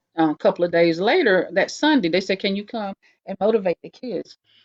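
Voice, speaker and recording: In a North Carolina accent, a woman speaks at a medium pitch with lively intonation. Vocal fry runs through her voice. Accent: US Southern (North Carolina). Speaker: writer, poet and nurse. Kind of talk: interview. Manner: fast.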